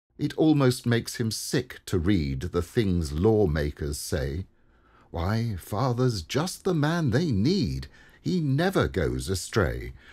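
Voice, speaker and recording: A man speaks very slowly in a warm, somewhat breathy tone at a fairly low pitch. His pitch swings very widely on a very clean recording with a silent background. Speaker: poem reader. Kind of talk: reading aloud a humorous rhyming poem. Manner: gently humorous, warm, steady rhythm.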